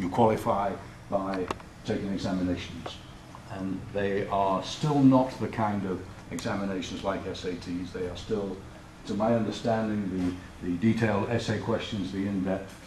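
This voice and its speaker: Speaking at a moderate pace with fairly even intonation, a man with a British accent and a fairly low pitch is heard amid noticeable background noise and audible room echo. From Britain. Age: 60s. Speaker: college president. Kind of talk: talk to an audience. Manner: low-key, relaxed; hesitant with fillers.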